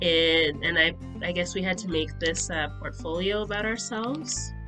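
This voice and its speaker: A nervous-sounding voice speaks at a moderate pace with ordinary pitch variation, music playing in the background. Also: woman. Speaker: nonprofit founder. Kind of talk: casual talk to camera. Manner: hesitant, nervous.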